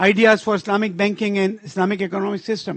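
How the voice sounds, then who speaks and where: In a Pakistani accent, the speaker talks at a fairly quick pace with an animated tone. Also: man. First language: Urdu. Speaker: conference speaker. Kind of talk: conference speech.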